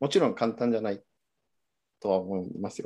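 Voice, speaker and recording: This man has a medium pitch and a dark, mellow tone. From Mexico. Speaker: bridge design engineer. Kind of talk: online interview. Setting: video call. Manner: halting.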